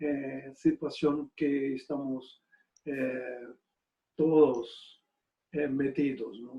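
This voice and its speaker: A man's dark, mellow, somewhat breathy voice at a very slow pace. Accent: Portuguese. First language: Portuguese (speaking Spanish). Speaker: retired bishop. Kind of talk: lecture. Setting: video conference. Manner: halting, many fillers.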